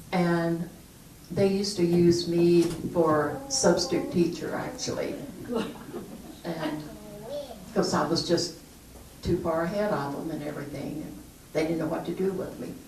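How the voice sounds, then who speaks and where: A woman with a Southern US accent speaks at a fairly slow pace and fairly low pitch, with ordinary pitch variation, long, frequent pauses and big swings in loudness. Background noise is noticeable and the room echo is audible. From US South, southern Kentucky. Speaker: retired police officer. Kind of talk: interview.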